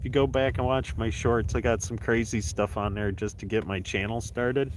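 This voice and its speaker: This man talks at a fairly quick pace with lively intonation, a fairly low pitch and vocal fry. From New York, US. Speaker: fishing YouTuber. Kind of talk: live stream chat while ice fishing. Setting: outdoors on the ice. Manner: casual, chatty.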